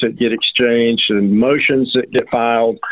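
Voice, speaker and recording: A man speaks at a medium pitch with an American accent. His pace is fairly slow and his pitch varies in an ordinary way. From Georgia, US (Atlanta suburbs). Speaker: personal injury attorney. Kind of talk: interview. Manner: halting, with many fillers.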